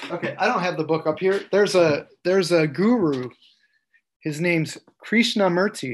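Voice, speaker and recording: A man with a high pitch and an American accent, at a moderate pace. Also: ordinary pitch variation. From Central New York, US. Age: 50s. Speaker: illustrator and tattoo artist. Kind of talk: casual interview.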